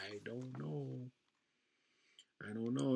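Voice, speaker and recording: A man speaks in a soft-spoken manner. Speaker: sports betting YouTuber. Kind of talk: casual solo talk-through tutorial. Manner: soft-spoken, low; casual, filler-heavy.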